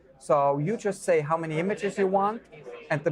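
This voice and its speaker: A man's speech, with ordinary pitch variation and a moderate pace, comes through noticeable background noise. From Switzerland. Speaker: drone company director of education. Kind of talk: interview answer.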